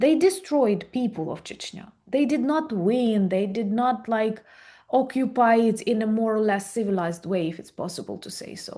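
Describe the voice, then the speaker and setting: In a Ukrainian accent, a woman with a fairly high voice and a dark, mellow tone speaks at a moderate pace with lively intonation and big swings in loudness against a quiet background. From Ukraine. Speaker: video blogger. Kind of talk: interview.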